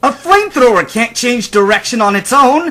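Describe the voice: A man puts on a character voice pitched extremely high. The tone is bright and sharp. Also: lively intonation, moderate pace.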